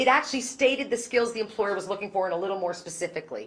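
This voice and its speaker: Against noticeable background noise, a woman speaks in an animated tone at a medium pitch with ordinary pitch variation. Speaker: keynote speaker on inclusive employment. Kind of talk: conference keynote talk. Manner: loud.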